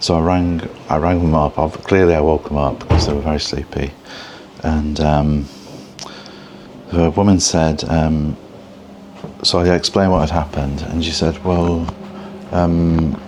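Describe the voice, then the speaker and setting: Quietly, a man speaks in a very deep, low pitch with monotone, flat intonation and long, frequent pauses. Noticeable background noise is present. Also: moderate pace. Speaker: travel vlogger. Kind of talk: casual vlog talk to camera. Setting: hotel room. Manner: quiet, hushed; halting, many fillers.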